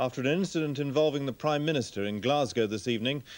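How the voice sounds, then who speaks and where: A man's unremarkable speaking voice, fairly high in pitch with ordinary pitch variation, on a very clean recording with a silent background. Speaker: newsreader. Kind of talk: TV news bulletin read.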